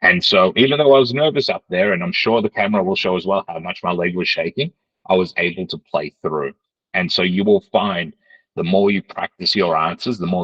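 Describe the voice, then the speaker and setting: In a dry, close sound with no echo, a man with a very deep, low pitch talks fairly quickly with lively intonation. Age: 30s. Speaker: job-readiness trainer. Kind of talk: online training lecture.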